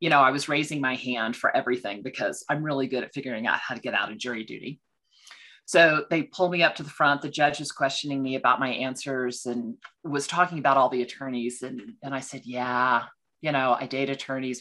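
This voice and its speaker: Against a quiet background, a woman with a Texan accent speaks very fast in a very deep, low pitch, her tone bright and sharp with ordinary pitch variation. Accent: Texan American. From Texas. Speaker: financial consultant for law firms. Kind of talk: podcast interview. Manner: energetic.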